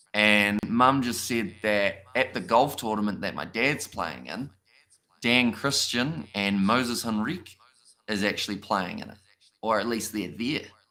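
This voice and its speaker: Speaking fairly slowly with a New Zealand accent, a man uses a fairly low pitch and ordinary pitch variation. His tone is bright and sharp, and his loudness swings widely. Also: very clean recording, silent background. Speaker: streamer interviewer. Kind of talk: casual chat on live stream.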